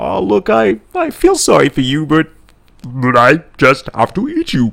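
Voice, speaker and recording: At a fairly slow pace, the speaker uses a put-on character voice. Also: man, fairly high pitch for a man. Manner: apologetic yet callous.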